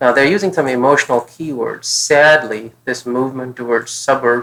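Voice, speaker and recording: This man has a bright, sharp tone and a non-native accent. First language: not English. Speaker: test prep tutor. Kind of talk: tutorial. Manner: thinking aloud, casual.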